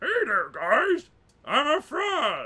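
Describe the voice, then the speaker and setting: An extremely high pitch marks this voice. It is a put-on character voice. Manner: silly, exaggerated.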